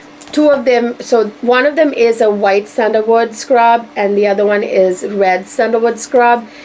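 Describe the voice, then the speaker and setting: A woman speaks with a fairly high pitch and very even loudness. Noticeable background noise is present. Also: ordinary pitch variation, moderate pace. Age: 40s. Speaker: beauty vlogger. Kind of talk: casual product review.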